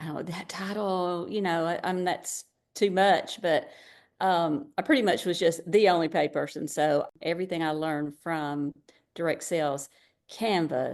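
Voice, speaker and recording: Fairly slow and fairly low, a woman with an ordinary speaking voice talks with ordinary pitch variation. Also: quiet background. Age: 60s. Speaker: direct seller, former gifted-education teacher. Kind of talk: interview answer.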